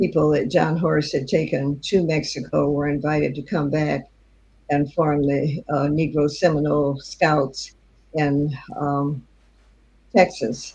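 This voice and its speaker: With fairly even intonation, the speaker sounds somewhat breathy. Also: woman, very deep, low pitch for a woman, fairly slow pace. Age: 90s. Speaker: author and historian. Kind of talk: interview. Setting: live online show.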